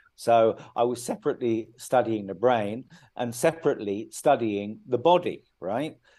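Over a quiet background, a man with a British accent speaks at a moderate pace in a dark, mellow tone. His pitch is medium, with ordinary variation. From UK. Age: 50s. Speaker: author. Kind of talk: interview.

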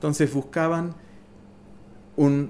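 Very slowly, a man with a fairly high pitch speaks in a dark, mellow tone. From New York City. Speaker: witness of 1980s New York nightlife. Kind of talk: casual interview.

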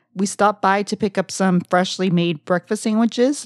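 In a very clean recording with a silent background, a woman speaks at a moderate pace, the sound dry and close with no echo. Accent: South Texas. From South Texas (Brownsville). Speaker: podcast co-host. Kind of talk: casual travel storytelling.

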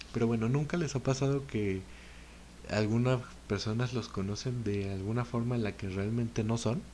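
A dark, mellow tone with a Mexican accent, at a moderate pace with ordinary pitch variation. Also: man, medium pitch for a man. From Mexico. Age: 20s. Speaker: podcaster. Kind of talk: casual monologue.

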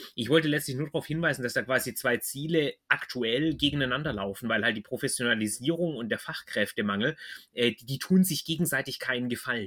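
Bright and sharp in tone, a man speaks with a Swabian accent. His pace is fairly quick, with ordinary pitch variation. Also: medium pitch for a man. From Swabia, southwest Germany. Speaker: podcast host. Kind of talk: interview. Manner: hesitant, many fillers.

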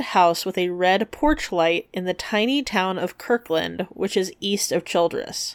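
A woman's unremarkable speaking voice, with ordinary pitch variation and a moderate pace. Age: 30s. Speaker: podcast co-host. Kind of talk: casual chat with researched storytelling. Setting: remote recording.

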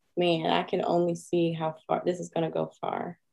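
An American accent with a dark, mellow tone. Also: woman. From Maryland, US (Edgewood). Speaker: blogger and podcaster. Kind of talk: casual interview chat.

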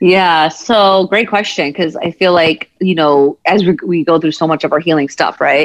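In an unremarkable speaking voice, a woman with a fairly low pitch talks at a moderate pace with ordinary pitch variation, hardly any pauses and very even loudness. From United States, Punjabi American family. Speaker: therapist and empowerment coach. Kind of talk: casual interview chat.

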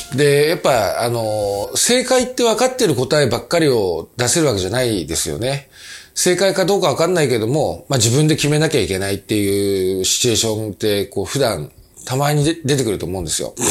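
His pitch rises and falls across a very wide range. The man is heard on a very clean recording against a silent background. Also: medium pitch for a man, fairly quick pace. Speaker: company president and podcast host. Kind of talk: casual monologue. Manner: many fillers and hesitations.

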